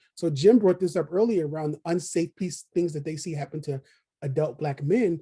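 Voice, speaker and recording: In a dark, mellow tone, a man with a Philadelphia accent talks with ordinary pitch variation. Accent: Philadelphia American English. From Philadelphia, US. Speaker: early childhood education consultant. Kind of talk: virtual conference presentation. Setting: video call presentation. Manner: fast.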